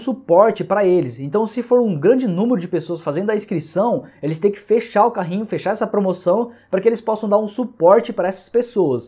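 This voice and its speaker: Against a quiet background, a man with a high pitch and a dark, mellow tone talks at a fairly quick pace. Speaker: YouTube creator, online reseller. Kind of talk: sales pitch. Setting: solo video recording. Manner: urgent, pushy promo pitch; repetitive, chatty, filler-heavy. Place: home room.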